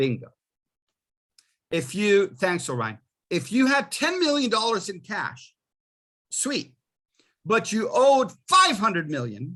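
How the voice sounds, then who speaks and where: A man's high, bright and sharp voice, raised and projected, at a fairly slow pace with very wide pitch swings and long, frequent pauses. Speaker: college finance instructor. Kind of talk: lecture. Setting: video call.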